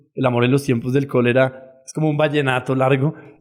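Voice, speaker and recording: A man talks at a fairly quick pace in a flat monotone. Music plays behind him. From Colombia. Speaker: startup founder. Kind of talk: podcast interview.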